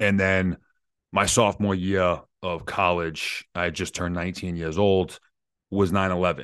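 A man's very deep, low pitch over a quiet background. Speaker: Green Beret soldier and business founder. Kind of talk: casual interview. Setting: video call.

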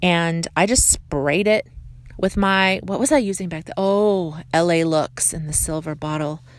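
Fairly even intonation in a plain, everyday voice, moderately paced, over a silent background on a very clean recording. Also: woman. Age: 40s. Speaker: beauty podcaster. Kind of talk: casual monologue. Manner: chatty.

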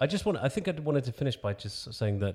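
The recording is very clean with a silent background. A man speaks in a dark, mellow tone. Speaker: podcast host interviewer. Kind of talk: interview questioning.

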